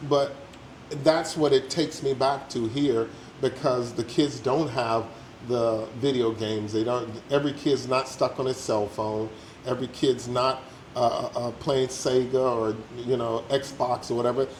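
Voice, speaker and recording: A man with an American accent, medium pitch and fairly even intonation, at a moderate pace amid noticeable background noise. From United States. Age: 60s. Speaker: retiree living abroad. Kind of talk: casual interview.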